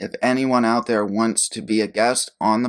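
An ordinary speaking voice from a man, medium in pitch, at a fairly slow pace with fairly even intonation. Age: 20s. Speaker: podcast host and producer. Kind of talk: casual solo monologue.

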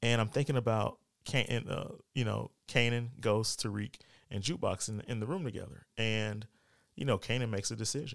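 With a plain, everyday voice, a man speaks at a fairly quick pace in a medium pitch with ordinary pitch variation, recorded very cleanly against a silent background. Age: 40s. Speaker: podcast host. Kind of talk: casual solo commentary. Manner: casual, many filler words.

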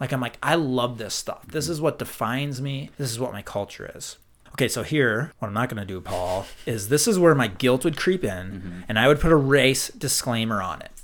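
On a very clean recording with a silent background, a man with an American accent talks at a fairly quick pace and medium pitch, using lively intonation and big swings in loudness. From Minnesota, US Midwest. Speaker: podcast host. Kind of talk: casual conversational podcast discussion. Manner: enthusiastic, animated.

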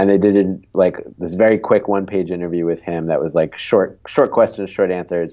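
A man talks at a moderate pace in a very deep, low voice with a dark, mellow tone. The background is quiet. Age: 30s. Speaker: sports video producer. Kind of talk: casual chat.

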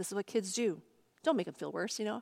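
A woman's plain, everyday voice with an American accent, medium pitch and lively intonation, in a very clean recording with a silent background. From US Northeast, Long Island, New York. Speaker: pastor. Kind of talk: sermon.

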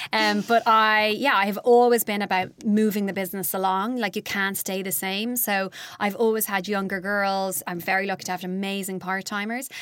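Irish-accented woman at a moderate pace with fairly even intonation, very clean recording and silent background. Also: medium pitch for a woman, hardly any pauses. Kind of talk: interview.

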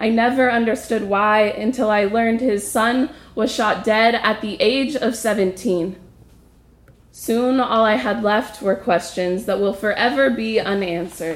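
A woman's fairly high voice in an American accent, a plain, everyday voice, fairly slow in pace with ordinary pitch variation and very even loudness. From US, Ojai, California. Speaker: storyteller, traveler. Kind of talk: personal story performed.

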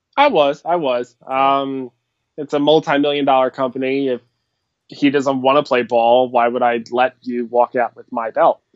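In an American accent, a man speaks at medium pitch with monotone, flat intonation. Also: moderate pace. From US, Philadelphia. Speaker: wrestling fan and podcast supporter. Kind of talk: casual chat. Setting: Skype call.

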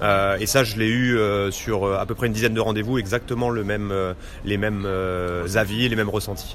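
Over noticeable background noise and audible room echo, a man with a fairly low pitch speaks at a fairly quick pace in a monotone, flat intonation, with long, frequent pauses. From Normandy, France. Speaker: business development manager. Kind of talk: interview. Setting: restaurant tea room. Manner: halting, many hesitations.

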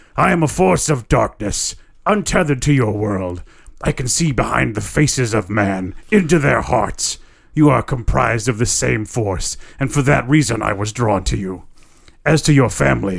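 A man puts on a growling character voice. He keeps a medium pitch and a moderate pace. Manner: menacing, ominous.

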